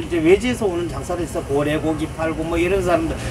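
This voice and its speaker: There is noticeable background noise as a man speaks with lively intonation. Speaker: market shopkeeper. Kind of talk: interview answer. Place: shop. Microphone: camera far.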